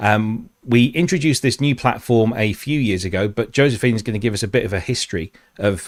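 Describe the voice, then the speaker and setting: With a British accent, a man at medium pitch talks at a fairly quick pace with ordinary pitch variation. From UK. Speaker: webinar host, corporate trainer. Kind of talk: webinar presentation.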